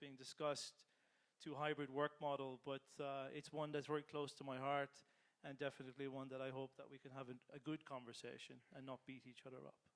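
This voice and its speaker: A man with an Irish accent, fairly quick and monotone, flat in intonation. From Ireland. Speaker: business transformation leader. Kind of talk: panel discussion.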